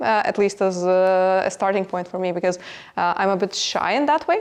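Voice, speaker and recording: Her medium-pitched voice shows ordinary pitch variation as the woman speaks. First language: not English. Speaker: business executive. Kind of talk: podcast interview. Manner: halting, many fillers.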